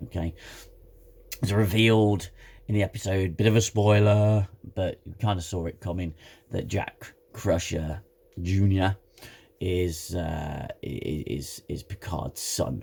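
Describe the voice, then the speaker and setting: Somewhat breathy and dark, mellow in tone, the voice moves very slowly with ordinary pitch variation and long, frequent pauses. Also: man, very deep, low pitch for a man. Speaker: TV show reviewer. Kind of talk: casual talk to camera.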